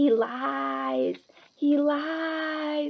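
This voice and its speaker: A woman performs a put-on character voice. Her pitch is high. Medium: read story.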